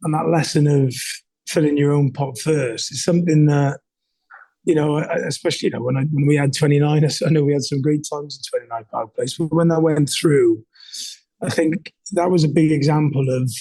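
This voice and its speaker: With a Welsh accent, a man talks at a fairly quick pace in a somewhat breathy, dark, mellow tone, his fairly high pitch held to fairly even intonation. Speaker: entrepreneur and leadership coach. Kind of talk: candid interview conversation. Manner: halting, many fillers and repeats.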